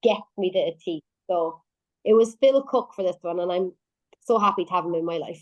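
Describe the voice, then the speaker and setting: Speaking at a fairly quick pace with long, frequent pauses, a woman with an Irish accent sounds animated at a medium pitch with ordinary pitch variation, recorded with a dry, close sound with no echo. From Ireland. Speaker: singer-songwriter. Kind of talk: radio interview.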